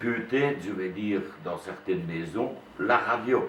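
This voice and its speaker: Very slowly, a man speaks amid noticeable background noise and audible room echo. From Wallonia, Belgium (Liège area). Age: 60s. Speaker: retired school headmaster and amateur Walloon theatre actor. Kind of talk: interview. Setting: classroom. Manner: hesitant, with frequent fillers.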